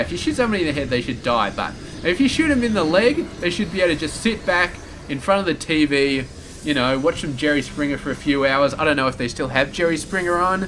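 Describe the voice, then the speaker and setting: Speaking very fast in an Australian accent, a man with a fairly high pitch uses lively intonation over noticeable background noise. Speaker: game commentator. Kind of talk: live game commentary. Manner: rambling casual.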